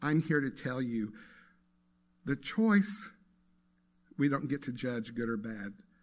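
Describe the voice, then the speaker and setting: At a moderate pace, a man speaks on a very clean recording with a silent background. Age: 60s. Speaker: guest speaker at a spiritual center. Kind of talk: sermon. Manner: conversational.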